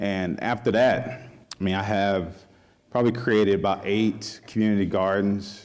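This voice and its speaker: Fairly low in pitch, a man talks with a Southern US accent. His pace is moderate and his intonation fairly even. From rural Mississippi. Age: 30s. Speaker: chef. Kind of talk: panel talk. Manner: halting, many fillers.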